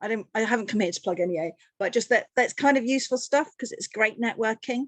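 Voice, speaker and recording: Very fast speech from a woman with a fairly high pitch and an English accent, in a dry, close sound with no echo. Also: ordinary pitch variation. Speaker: energy advice charity worker. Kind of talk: webinar presentation. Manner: animated.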